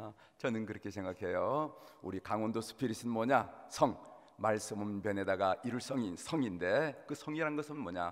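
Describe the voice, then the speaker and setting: Male speaker with a Gangwon accent, medium pitch, lively intonation and a moderate pace. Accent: Gangwon regional intonation. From Korea, Gangwon (Gangneung). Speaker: pastor. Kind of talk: sermon. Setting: church.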